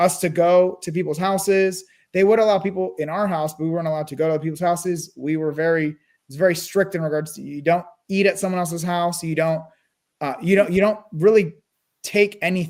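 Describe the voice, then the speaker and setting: A man with a Californian accent, high pitch, fairly even intonation and a fairly quick pace. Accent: General American (California). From US West Coast, Burbank California. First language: Russian and Armenian. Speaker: real estate investor. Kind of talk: interview.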